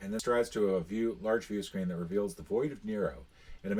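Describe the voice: The audio consists of plain reading aloud.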